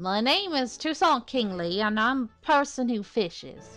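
A woman uses a put-on character voice with a high pitch at a moderate pace. Faint music plays in the background.

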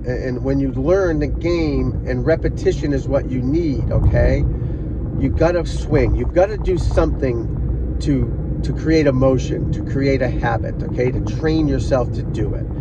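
Over loud background noise, a man speaks at a fairly slow pace, the sound dry with no echo. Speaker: golf instructor. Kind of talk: casual vlog chat. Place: car. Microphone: phone near.

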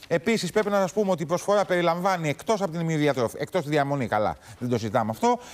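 The man talks high in his range, and his pitch swings very widely. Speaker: TV morning show co-host. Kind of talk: news talk show hosting. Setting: TV studio. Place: studio. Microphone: lapel.

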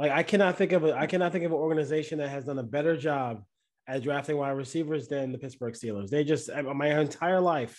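A man's fairly high-pitched voice with ordinary pitch variation against a quiet background. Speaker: podcast host. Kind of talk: sports podcast discussion. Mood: casual, analytical. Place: home room. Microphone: video call.

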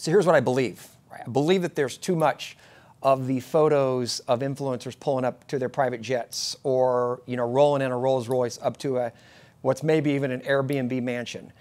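A man at a moderate pace with fairly even intonation. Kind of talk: casual vlog chat. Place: office.

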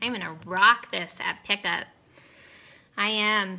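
Her bright, sharp, upbeat tone comes with ordinary pitch variation as the woman speaks. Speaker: beauty consultant; makeup seller. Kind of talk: casual live makeup demo. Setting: live video stream at home. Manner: chatty, upbeat, excitable. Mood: playful, upbeat. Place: home room. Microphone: phone near.

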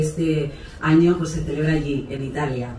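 A woman's very deep, low voice with fairly even intonation, audible room echo and light background noise. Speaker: presenter. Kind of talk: formal event presentation. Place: stage. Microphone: pa.

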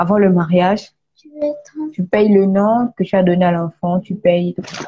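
A woman speaks at a fairly slow pace with an ordinary speaking voice, a medium pitch and fairly even intonation. The sound is dry and close, with no echo. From Gabon. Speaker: author. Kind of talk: live stream interview. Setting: online live video call.

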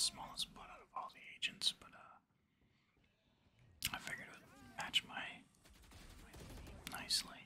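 A man whispers at a moderate pace, soft-spoken throughout. Light background noise is present. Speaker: gaming streamer. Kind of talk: casual gameplay commentary. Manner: soft ASMR whisper. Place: home room.

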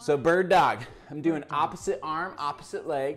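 Music can be faintly heard behind the voice. The speaker is a man. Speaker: fitness trainer. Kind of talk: workout tutorial instruction. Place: gym.

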